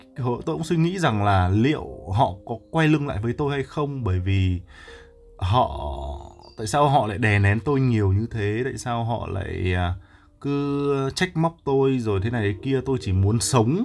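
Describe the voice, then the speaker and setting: A man talks at a fairly slow pace with very wide pitch swings while music plays in the background. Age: young. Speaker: livestreamer. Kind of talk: casual livestream chat with viewers. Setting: live stream on Facebook. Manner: halting, many fillers.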